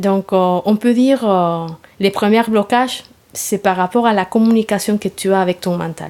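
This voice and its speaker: With a Spanish accent, a woman speaks in fairly even intonation. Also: medium pitch for a woman, moderate pace. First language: Spanish (speaking French). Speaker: yoga therapy teacher. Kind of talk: interview. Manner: halting, many hesitations.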